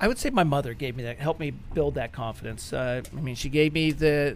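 Using an unremarkable speaking voice with an American accent, a man talks at a fairly quick pace in a fairly high pitch with ordinary pitch variation. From West Virginia (Clarksburg). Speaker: IT company president. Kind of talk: radio interview.

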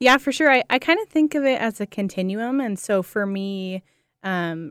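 Lively intonation marks a plain, everyday voice with an American accent, recorded with a dry, close sound and no echo. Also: woman. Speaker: foster care case manager and social work student. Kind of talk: radio interview.

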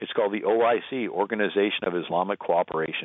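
What we hear is an ordinary speaking voice. The rise and fall of its pitch is ordinary. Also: man. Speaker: author and radio commentator. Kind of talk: interview.

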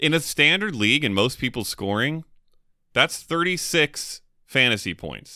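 With an American accent, a man's bright, sharp voice shows vocal fry and very wide pitch swings. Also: medium pitch for a man, moderate pace. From California. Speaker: fantasy football podcast co-host. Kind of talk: casual chat.

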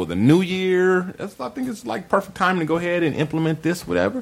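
This man has an unremarkable speaking voice, fairly high-pitched, and he talks at a fairly quick pace. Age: 40s. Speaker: podcast host. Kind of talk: casual chat. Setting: studio.

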